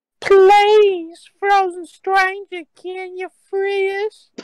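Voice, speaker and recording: A man's put-on character voice, extremely high in pitch, very slow and flat in a monotone. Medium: stage play. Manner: solemn, earnest.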